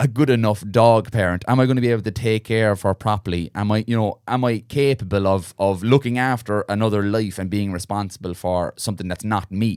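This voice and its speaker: Recorded very clean with a silent background and a dry, close sound with no echo, a man with a Munster accent speaks at a fairly quick pace in a fairly low voice with fairly even intonation. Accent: Irish, Munster. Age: 30s. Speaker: podcast host. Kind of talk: casual interview. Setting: studio.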